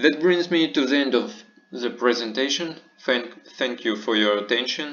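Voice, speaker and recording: With audible room echo and noticeable noise in the background, a man talks at a medium tempo, his pitch moving in a typical way. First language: not English. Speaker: medical lecturer. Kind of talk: lecture. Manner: halting.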